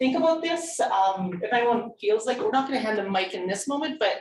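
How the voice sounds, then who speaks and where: The speech comes at a very fast pace with lively intonation. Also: woman. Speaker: harm reduction workshop facilitator. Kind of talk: workshop presentation.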